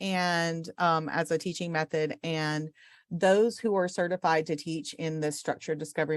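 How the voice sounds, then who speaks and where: An unremarkable speaking voice goes at a fairly slow pace with ordinary pitch variation in a very clean recording with a silent background. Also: woman. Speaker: orientation and mobility instructor. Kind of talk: lecture.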